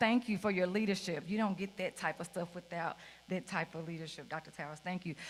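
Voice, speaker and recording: A bright, sharp tone from a woman with an American accent. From US South, rural Mississippi. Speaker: keynote speaker, school principal. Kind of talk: keynote speech. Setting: stage with audience. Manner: loud; animated.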